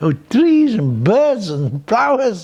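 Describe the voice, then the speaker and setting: Speaking at a very slow pace, a man's pitch swings very widely. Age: 80s+. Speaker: painter. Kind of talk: interview. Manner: halting, repetitive.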